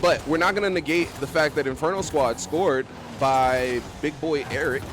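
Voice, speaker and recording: An excited, animated man speaks at a moderate pace with ordinary pitch variation. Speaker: esports caster. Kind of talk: live commentary. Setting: voice chat stream. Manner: loud, excited. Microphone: mic cutting out, noise suppression.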